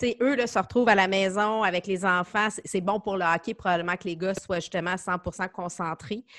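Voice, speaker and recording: A woman speaks at a moderate pace with hardly any pauses, her medium pitch carried by fairly even intonation. It is an ordinary speaking voice, recorded dry and close with no echo against a quiet background. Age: 40s. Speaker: podcast host. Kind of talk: casual chat.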